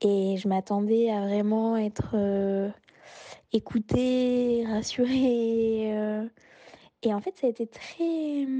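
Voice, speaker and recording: A woman's fairly high-pitched voice, dark and mellow in tone, with a dry, close sound and no echo. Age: 30s. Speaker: interviewee sharing a personal story. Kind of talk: personal testimony. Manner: hesitant, many fillers.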